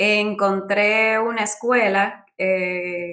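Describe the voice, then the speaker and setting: A woman's voice with monotone, flat intonation. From Dominican Republic. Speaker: UX designer, former architect. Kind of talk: interview.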